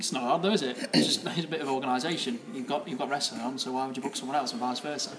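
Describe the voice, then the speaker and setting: A man with an East Midlands accent talks at a very fast pace and medium pitch. His pitch varies in an ordinary way, and there is noticeable background noise. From England, East Midlands (Mansfield). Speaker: professional wrestler. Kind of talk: casual chat.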